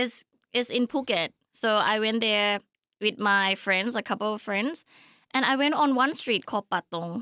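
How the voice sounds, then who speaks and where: Recorded very cleanly with a silent background and a dry, close sound with no echo, a woman with a Thai accent speaks at a moderate pace with a fairly high pitch, a bright, sharp tone and ordinary pitch variation. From rural Thailand. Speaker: podcast guest. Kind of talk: casual chat. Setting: studio.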